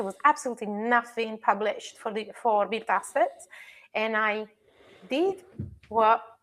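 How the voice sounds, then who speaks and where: Someone with an Italian accent speaks at a fairly quick pace with ordinary pitch variation. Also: woman. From Italy. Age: 40s. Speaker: digital twin and construction tech specialist. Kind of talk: casual chat.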